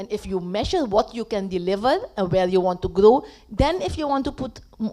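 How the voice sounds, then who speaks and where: A woman speaks very fast at a medium pitch, her intonation lively. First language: Dutch. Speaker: panelist. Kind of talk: panel discussion. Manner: emphatic.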